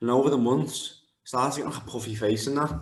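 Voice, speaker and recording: Audible room echo surrounds speech delivered at a very fast pace with ordinary pitch variation. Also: man. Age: 20s. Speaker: MMA fighter. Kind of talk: interview.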